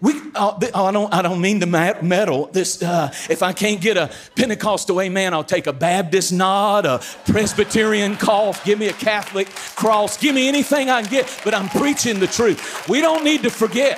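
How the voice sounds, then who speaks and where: Over noticeable background noise, a man with a North Carolina accent and a high pitch speaks in an animated tone with lively intonation. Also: moderate pace, hardly any pauses. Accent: Southern US (North Carolina). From eastern North Carolina, US South. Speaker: guest preacher. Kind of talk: sermon. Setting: church stage with audience.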